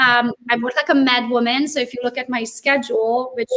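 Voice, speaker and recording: Speaking at a fairly quick pace, a woman with a high voice has a non-native accent. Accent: foreign. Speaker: real estate agent, social media influencer. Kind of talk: live interview. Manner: animated.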